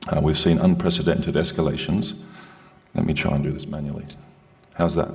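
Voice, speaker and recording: Here a man speaks with an Australian accent. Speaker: security consultant. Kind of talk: presentation. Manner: loud.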